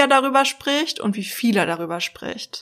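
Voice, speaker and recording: Here is a woman with an unremarkable speaking voice and ordinary pitch variation. She talks at a fairly slow pace. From Berlin, Germany. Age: 30s. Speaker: psychologist and dating expert. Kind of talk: casual interview chat.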